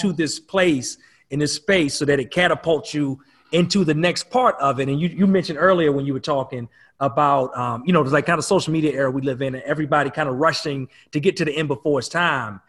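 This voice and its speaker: A man, fairly high-pitched and somewhat breathy, at a very fast pace with ordinary pitch variation, on a very clean recording with a silent background. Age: 40s. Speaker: podcast host and business coach. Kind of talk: scripted intro; workshop conversation.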